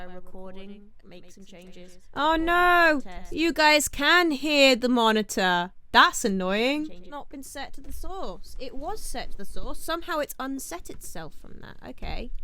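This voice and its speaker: In a British accent, a woman projects a raised, bright, sharp voice at a high pitch, fairly slowly with hardly any pauses, very wide pitch swings and big swings in loudness, in a room with audible echo. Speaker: indie musician and producer, channel host. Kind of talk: tutorial. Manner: casual thinking aloud.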